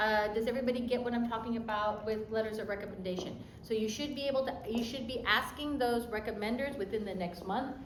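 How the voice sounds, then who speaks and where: A woman's high voice with ordinary pitch variation at a fairly quick pace, audible room echo and noticeable background noise. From US mainland, Japanese-American. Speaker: college admissions counselor. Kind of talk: workshop talk. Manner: fast; casual, direct.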